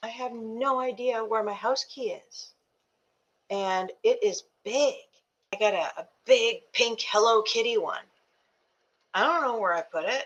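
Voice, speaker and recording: A woman's fairly high voice at a fairly slow pace, with long, frequent pauses, ordinary pitch variation and big swings in loudness. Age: 60s. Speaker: YouTuber and ADHD coach. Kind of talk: casual vlog. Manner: halting.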